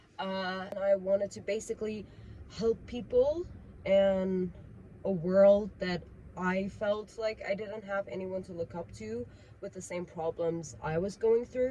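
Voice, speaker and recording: A woman with a Persian accent and big swings in loudness. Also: medium pitch for a woman, ordinary pitch variation, fairly slow pace. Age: 20s. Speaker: vlogger. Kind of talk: casual rant monologue. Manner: unscripted, with fillers.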